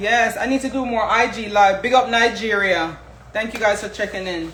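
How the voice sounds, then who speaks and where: A woman with a Jamaican accent speaks at a moderate pace and a fairly high pitch in an animated tone. The recording has audible room echo and noticeable background noise. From Jamaica, moved to US at seven. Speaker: home cook, social media creator. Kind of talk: live cooking stream, casual chat with viewers.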